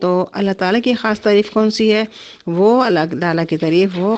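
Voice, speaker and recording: She has a medium pitch and an unremarkable speaking voice. Her pitch varies in an ordinary way. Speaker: Quran teacher. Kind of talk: Quran tafseer lecture. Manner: explanatory, teaching.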